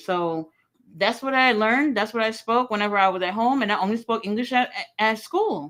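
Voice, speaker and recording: A woman with a Haitian accent talks with lively intonation at a fairly high pitch. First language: Haitian Creole. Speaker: wrestling streamer. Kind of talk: casual chat. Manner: animated.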